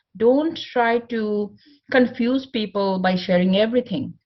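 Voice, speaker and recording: A woman speaks with a non-native accent. Her voice is somewhat breathy, and her pace is fairly slow. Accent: non-native English accent, self-described. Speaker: motivational speaker. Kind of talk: conference talk.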